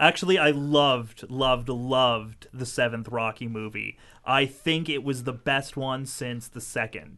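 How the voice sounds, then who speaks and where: Speaking in an unremarkable speaking voice, a man talks at a fairly slow pace with medium pitch, ordinary pitch variation and hardly any pauses. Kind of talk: casual chat.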